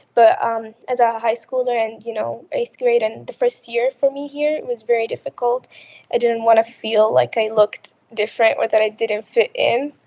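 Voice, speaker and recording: Heard in a dry, close sound with no echo, the speaker has a slight Arabic accent and talks at a moderate pace. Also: woman. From Qatar. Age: 20s. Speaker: college student. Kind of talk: interview. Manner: halting.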